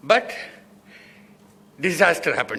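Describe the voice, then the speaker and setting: His voice is raised and projected. The man's tone comes across bright and sharp. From South India. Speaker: business founder. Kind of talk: lecture. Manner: fast; slurred speech.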